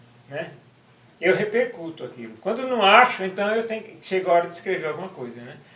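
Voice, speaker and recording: With noticeable background noise and audible room echo around him, a man uses a raised, projected voice, high in pitch, with very wide pitch swings at a fairly quick pace. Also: big swings in loudness. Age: 60s. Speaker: interviewee, activist writer. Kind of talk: interview. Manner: halting, repeats words.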